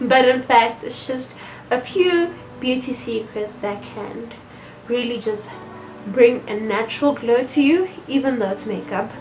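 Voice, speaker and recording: Against music in the background, a woman speaks at a fairly slow pace in a high pitch with ordinary pitch variation. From South Africa. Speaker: beauty blogger. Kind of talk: casual talk to camera.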